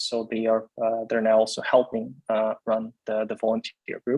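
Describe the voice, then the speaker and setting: A man talks with a Ukrainian accent at a moderate pace. The sound is dry and close, with no echo. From Ukraine (Dnipro). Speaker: tech founder. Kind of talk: video call update. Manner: halting, many fillers.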